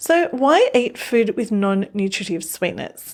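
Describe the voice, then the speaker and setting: A woman speaks with lively intonation and a fairly high pitch. The recording is very clean, with a silent background. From Australia. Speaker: newsletter writer and presenter. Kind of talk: scripted narration.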